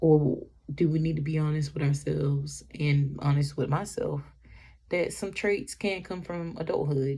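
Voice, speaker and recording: A woman speaks in a somewhat breathy voice at a very deep, low pitch. Her pace is fairly slow and her intonation fairly even. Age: 20s. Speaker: vlogger. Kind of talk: personal vlog monologue. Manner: halting.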